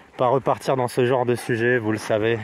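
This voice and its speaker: A man's voice at a fairly slow pace. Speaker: hiking vlogger. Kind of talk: casual vlog narration. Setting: outdoors on a hiking trail. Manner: hesitant, many fillers; speaking quietly.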